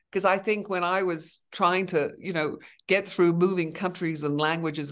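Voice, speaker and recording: An unremarkable speaking voice with fairly even intonation against a quiet background. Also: woman. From Venezuela, then Canada, Netherlands, Australia. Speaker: brand consultant and artist. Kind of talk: interview conversation.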